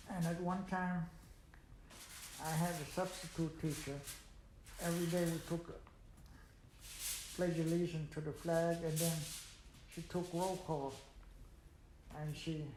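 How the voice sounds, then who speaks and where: With an American accent, a man speaks at a fairly slow pace in a high, monotone, flat voice, leaving long, frequent pauses. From United States (Pittsburgh, Pennsylvania). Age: 80s+. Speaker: World War II veteran. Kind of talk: oral history interview answer.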